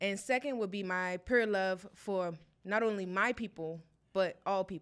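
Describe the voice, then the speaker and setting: In a very clean recording with a silent background, a woman with an unremarkable speaking voice, medium pitch and an American accent talks at a fairly slow pace. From South Carolina, Charleston. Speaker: podcast host. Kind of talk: interview podcast.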